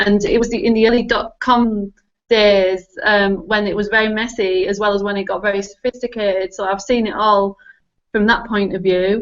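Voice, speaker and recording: A woman speaks with a strong northern English accent at a medium pitch. Her intonation is monotone and flat, and her pace is moderate. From northern England. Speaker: technology consultant and spiritual guide. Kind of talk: casual interview chat.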